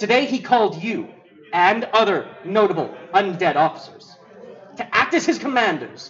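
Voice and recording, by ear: The passage is read aloud in a natural voice.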